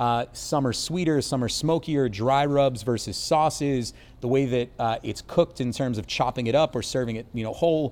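A man with an American accent and an unremarkable speaking voice talks at a moderate pace, with a medium pitch and ordinary pitch variation. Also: hardly any pauses. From Baltimore, Maryland, US. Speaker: brewery brand ambassador. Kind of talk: casual interview chat.

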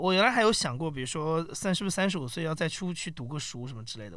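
A man at a very fast pace, with a fairly high pitch and very wide pitch swings. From mainland China. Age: 30s. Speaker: podcast company founder. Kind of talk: casual chat.

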